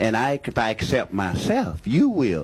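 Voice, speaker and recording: Medium-pitched man with an American accent. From Louisiana. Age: 60s. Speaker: audience member. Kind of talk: heated debate. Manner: animated.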